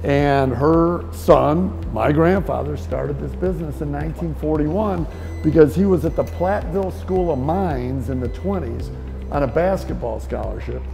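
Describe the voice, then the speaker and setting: Music plays behind a man with a very deep, low pitch. He speaks at a fairly slow pace with lively intonation. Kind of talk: interview answer. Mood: upbeat, proud storytelling. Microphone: lapel.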